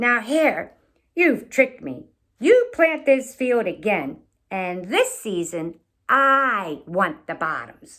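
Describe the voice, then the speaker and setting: In a put-on character voice, a female-sounding voice speaks very slowly at a high pitch, raised and projected, with very wide pitch swings. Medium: read story. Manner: slow, grumbling.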